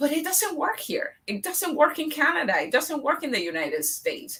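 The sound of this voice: A woman with a high pitch and a bright, sharp tone speaks at a moderate pace, her voice making big pitch swings.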